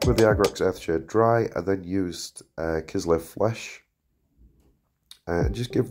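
With music in the background, the man's intonation sounds lively. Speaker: miniature painter. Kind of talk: tutorial voice-over narration.

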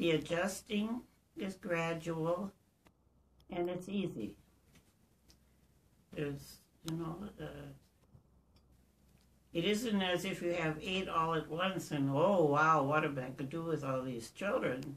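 A very slow delivery broken by long, frequent pauses. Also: woman, fairly low pitch for a woman. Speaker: interviewee. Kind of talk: interview answer. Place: home room. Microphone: camera far.

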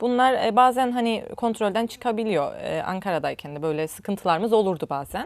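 A woman with an ordinary speaking voice talks at a fairly quick pace with hardly any pauses, her fairly high pitch carried by lively intonation. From Northern Cyprus, Nicosia. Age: 40s. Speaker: ceramics lecturer. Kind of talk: interview.

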